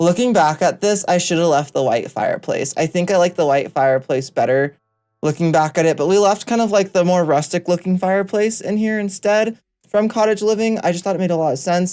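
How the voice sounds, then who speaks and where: A very clean, silent-background recording of rather fast speech. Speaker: gaming YouTuber. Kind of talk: casual commentary over a build video. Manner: animated.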